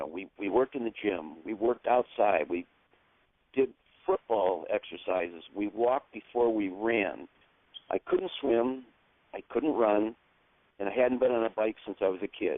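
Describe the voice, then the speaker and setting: With an American accent, a man at medium pitch talks at a moderate pace broken by long, frequent pauses. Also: ordinary pitch variation. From New York. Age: 60s. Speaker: amateur triathlete. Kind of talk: interview testimony.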